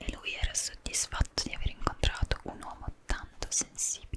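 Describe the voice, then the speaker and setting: Here a woman whispers at a moderate pace in a gentle, soothing tone. Noticeable background noise runs underneath. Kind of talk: book reading in Italian. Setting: studio microphone with rain sounds. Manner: whispered, gentle, soothing.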